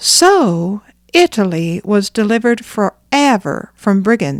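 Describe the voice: Lively intonation in plain reading aloud.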